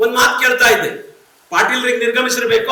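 A man's raised, projected voice at extremely high pitch with lively intonation, audible room echo and noticeable background noise. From North Karnataka, Vijayapura (Bijapur) district. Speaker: writer and professor. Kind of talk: keynote speech. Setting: stage with audience.

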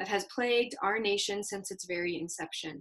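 She speaks at a moderate pace and medium pitch, with ordinary pitch variation and a fairly bright tone.

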